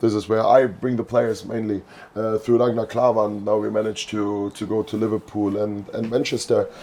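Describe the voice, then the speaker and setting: Noticeable background noise runs under a man speaking at a moderate pace with a non-native accent. His fairly low voice stays monotone and flat. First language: not English. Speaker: youth football coach. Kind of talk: podcast interview. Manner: halting.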